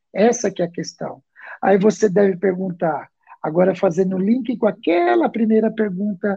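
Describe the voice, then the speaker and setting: Dark and mellow in tone, a man's high-pitched voice moves with ordinary pitch variation. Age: 40s. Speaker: school counselor and psychoanalyst. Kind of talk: interview on a live parenting show. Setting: live stream.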